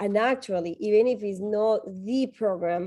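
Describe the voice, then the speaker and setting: Here a woman speaks with a strong Colombian accent. Her tone is dark and mellow, and her pace fairly slow. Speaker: tech nonprofit executive, panelist. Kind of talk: panel discussion advice.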